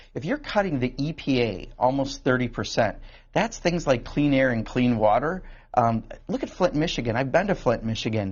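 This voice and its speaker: A man with an American accent speaks in a plain, everyday voice at medium pitch, with lively intonation and a moderate pace. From Wisconsin (Kenosha). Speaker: congressman. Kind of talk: call-in TV interview.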